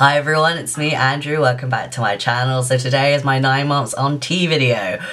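Here is a man with a British accent. He talks at a fairly quick pace with fairly even intonation. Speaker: YouTuber. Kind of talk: vlog monologue. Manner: halting; flat-sounding. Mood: reflective, hopeful. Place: home room. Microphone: phone near.

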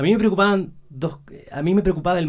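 Quiet surroundings behind a male speaker. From Chile, Santiago; Chile. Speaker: entrepreneur; podcast guest. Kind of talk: casual chat. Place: studio. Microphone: studio mic.

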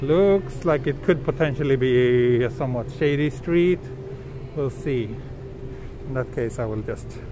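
Noticeable background noise sits behind a man speaking at a moderate pace. His sound is dry with no echo, and he takes long, frequent pauses. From Western country, not Japan. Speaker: travel livestreamer. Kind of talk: live walking stream with chat. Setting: outdoors on city streets. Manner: casual, hesitant with fillers. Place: street. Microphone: phone near.

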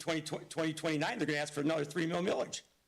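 Loud and high-pitched, a man speaks with an American accent. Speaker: school board member. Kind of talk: heated debate. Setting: public board meeting. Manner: animated.

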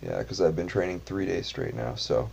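A man's dark, mellow voice, somewhat breathy. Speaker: vlogger. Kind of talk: casual vlog chat. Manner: relaxed, low bedtime voice. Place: home room. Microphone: webcam.

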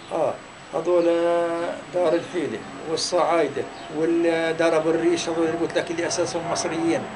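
The man's high-pitched voice keeps a monotone, flat intonation at a moderate pace. Long, frequent pauses break it up, and background noise is noticeable. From Palestine, Tall al-Safi village near Hebron. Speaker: Nakba refugee, oral history witness. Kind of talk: interview answer. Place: home room.

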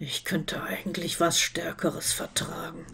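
This is a put-on character voice at middle pitch. It sounds rumbling, gruff and raspy, at a moderate pace. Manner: grumbling.

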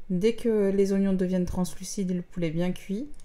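A woman's voice with a dark, mellow tone. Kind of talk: tutorial. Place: kitchen.

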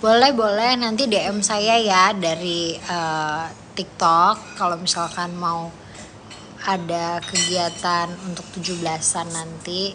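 A woman's fairly low voice at a very slow pace, with ordinary pitch variation and noticeable background noise. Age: 20s. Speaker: politician. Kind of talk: livestream chat with viewers. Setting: TikTok livestream. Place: home room. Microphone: phone near.

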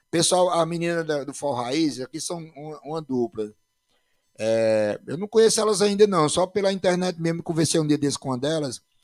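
A man's fairly high voice with lively intonation at a moderate pace, the sound dry and close with no echo. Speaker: podcast host and former band musician. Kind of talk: casual chat.

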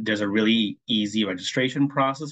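Moderately paced male speech over a quiet background. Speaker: nonprofit grants staff. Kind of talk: informational webinar presentation. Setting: video call. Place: home room. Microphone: webcam.

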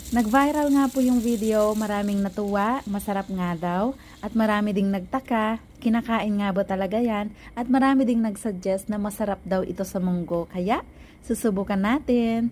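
A somewhat breathy woman's voice, fairly high-pitched, at a moderate pace with ordinary pitch variation. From Philippines, Ilocos region. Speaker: cooking vlogger. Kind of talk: cooking tutorial voiceover.

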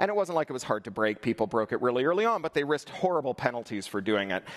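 The background is silent while a man talks. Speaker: conference keynote speaker. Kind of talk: keynote talk. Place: stage.

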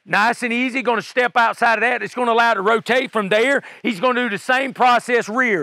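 A man's raised, projected voice with a bright, sharp tone, against a quiet background with a dry sound and no echo. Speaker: fitness coach. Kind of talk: tutorial. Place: forest.

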